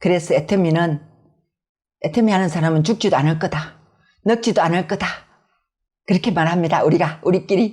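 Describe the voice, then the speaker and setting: Talking at a fairly quick pace with a strong Gyeongsang accent, a woman leaves long, frequent pauses, keeping her loudness very even and her pitch variation ordinary. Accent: Gyeongsang dialect, strong intonation. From Gyeongsang, South Korea. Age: 60s. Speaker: network marketing business leader. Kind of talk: interview. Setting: video interview.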